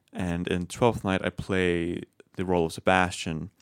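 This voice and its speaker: In an American accent, the speaker talks at a moderate pace with a dry, close sound and no echo on a very clean recording with a silent background. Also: man. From Wet Mountain Valley, Colorado. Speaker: young theater actor. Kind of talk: radio interview.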